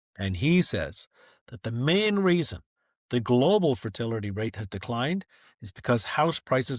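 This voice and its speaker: A man speaks in a normal speaking voice at medium pitch, with a Canadian accent. The sound is dry and close with no echo, on a very clean recording with a silent background. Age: 60s. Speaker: author and former fund manager. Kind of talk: podcast interview.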